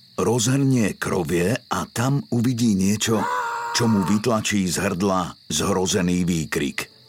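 Speaking at a very slow pace in a dramatic tone, a man with a fairly low pitch and ordinary pitch variation is heard over noticeable background noise. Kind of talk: true-crime scripted narration. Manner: measured, dramatic storytelling pace; grave, suspenseful, formal.

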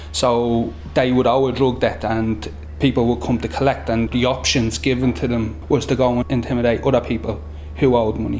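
Amid noticeable background noise, a man with a Dublin accent speaks fairly quickly at a medium pitch with lively intonation. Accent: Dublin Irish. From Dublin inner city (Summerhill). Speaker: youth worker. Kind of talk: recorded interview.

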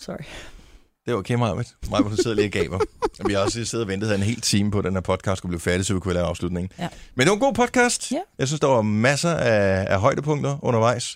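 Lively intonation marks this man's very fast speech at a fairly low pitch. The recording is very clean, with a silent background. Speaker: radio host. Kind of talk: casual chat. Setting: studio.

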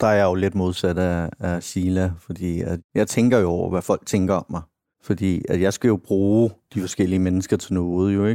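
A man's very deep, low voice has a dark, mellow tone and a monotone, flat delivery. His pace is moderate, and the sound is dry and close with no echo. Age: 30s. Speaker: podcast guest diagnosed with psychopathy. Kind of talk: casual interview.

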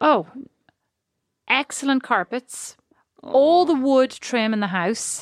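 A woman with an Irish accent speaks at a very slow pace with long, frequent pauses, her high-pitched voice lively in intonation, in a very clean recording with a silent background and a dry, close sound with no echo. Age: 40s. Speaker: podcast co-host. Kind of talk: casual chat. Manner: animated.

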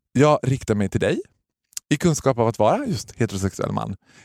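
The man's tone is animated and his intonation lively, captured with a dry, close sound with no echo. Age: 30s. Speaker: podcast host. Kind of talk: casual chat.

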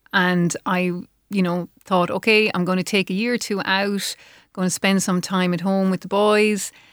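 Someone with an Irish accent speaks at a moderate pace in a flat monotone, in a very clean, dry, close recording with a silent background and no echo. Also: woman, medium pitch for a woman. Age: 50s. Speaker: menopause coach. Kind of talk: interview. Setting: studio.

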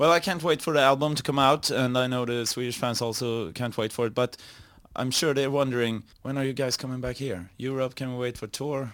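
On a very clean recording with a silent background, a man in a normal speaking voice talks at a fairly quick pace, medium in pitch, with fairly even intonation. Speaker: radio host. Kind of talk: interview.

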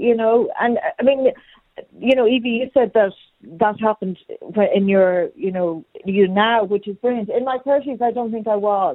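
A woman's fairly high voice with an Irish accent. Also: ordinary pitch variation, moderate pace. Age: 50s. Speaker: caller, mother. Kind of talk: radio phone-in discussion. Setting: phone call.

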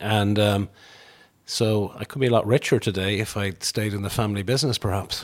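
A man with a western Irish accent speaks at a fairly quick pace. His voice is fairly low, with fairly even intonation. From Ireland, Tuam, County Galway. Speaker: business group chief executive and economist. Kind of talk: interview. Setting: kitchen table at home.

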